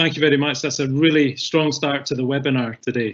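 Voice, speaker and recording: Using monotone, flat intonation, a man with a Scottish accent speaks at a fairly quick pace and a fairly high pitch. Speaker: webinar moderator. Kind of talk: panel moderation.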